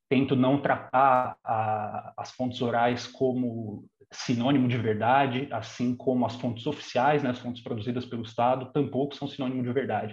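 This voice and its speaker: Fairly even intonation marks this man's somewhat breathy speech. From Brazil, São Bernardo do Campo (São Paulo state). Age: 30s. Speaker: historian. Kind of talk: interview.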